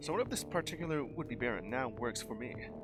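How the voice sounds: A man's put-on character voice, very fast and nasal, at medium pitch, with loud music in the background.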